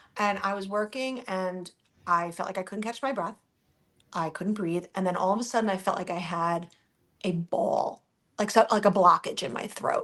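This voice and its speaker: A woman with an American accent speaks at a medium pitch in a plain, everyday voice. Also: ordinary pitch variation. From New Jersey. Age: 40s. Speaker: social media influencer. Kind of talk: casual chat. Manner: fast, rambling with false starts.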